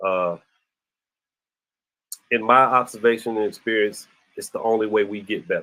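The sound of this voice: A man at a moderate pace, fairly low in pitch, with a bright, sharp tone and fairly even intonation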